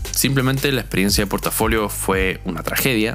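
A man with a Chilean accent at a moderate pace, ordinary pitch variation, and noticeable background noise. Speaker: logistics graduate and musician. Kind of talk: casual testimony.

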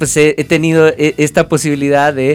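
Music plays behind a man speaking at a moderate pace. His pitch is fairly high. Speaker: lawyer and comic collector. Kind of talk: casual chat.

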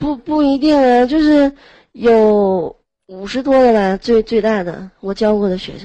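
A woman with a fairly high pitch and a dark, mellow tone speaks at a fairly slow pace. Her intonation is lively, and her loudness swings widely. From Heilongjiang, northeast China. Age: 20s. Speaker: manual worker. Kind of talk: casual chat. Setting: online voice chat room.

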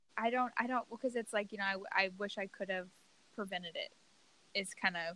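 A woman with an American accent, medium pitch and ordinary pitch variation, her tone bright and sharp, at a fairly quick pace. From US South, Louisiana. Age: 20s. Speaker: podcast host. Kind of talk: casual interview.

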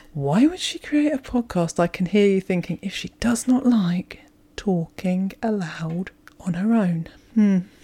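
Her voice has a dark, mellow tone and ordinary pitch variation as the woman speaks. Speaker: podcast host. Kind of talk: casual solo monologue. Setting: solo podcast recording. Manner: halting with many ums; audible deep breathing.

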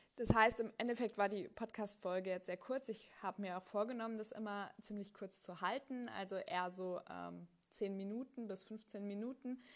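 Speaking in a plain, everyday voice, a woman keeps a medium pitch, a moderate pace, fairly even intonation and hardly any pauses. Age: 30s. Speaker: podcast host, tax adviser exam candidate. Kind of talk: solo monologue. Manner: casual with frequent fillers.

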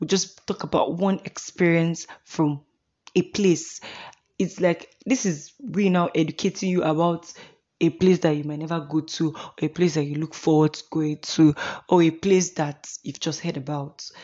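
With a Nigerian accent, a woman speaks at a fairly low pitch in fairly even intonation. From Imo State, Nigeria. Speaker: podcast host, law student. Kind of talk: solo podcast monologue, casual. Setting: home recording, Kaduna. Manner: talkative, deliberately paced not too fast or slow.

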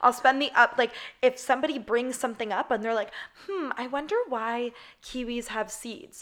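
A woman's loud, high-pitched voice, animated in tone, with ordinary pitch variation and a moderate pace. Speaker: podcast host. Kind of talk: casual chat.

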